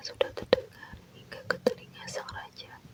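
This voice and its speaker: A woman whispers over noticeable background noise. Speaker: ASMR content creator. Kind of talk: folklore storytelling read aloud. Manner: slow, soothing.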